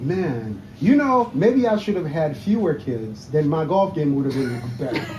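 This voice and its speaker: A man with a Haitian accent speaks at a fairly slow pace with hardly any pauses, his fairly high pitch making very wide swings. Noticeable background noise and audible room echo fill the recording. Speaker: golf podcast host. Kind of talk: casual interview. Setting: outdoor patio at a country club.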